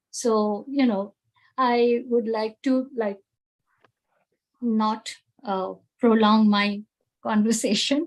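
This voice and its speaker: A woman speaks at a very slow pace in an Indian accent, leaving long, frequent pauses. Her fairly high voice keeps a fairly even intonation. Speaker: teacher, satsang moderator. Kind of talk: moderated panel sharing.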